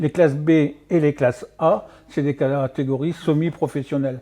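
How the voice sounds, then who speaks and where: Talking at a moderate pace, a man with a fairly high pitch keeps his intonation fairly even. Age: 60s. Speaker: martial arts coach. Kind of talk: radio interview. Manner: halting, many fillers.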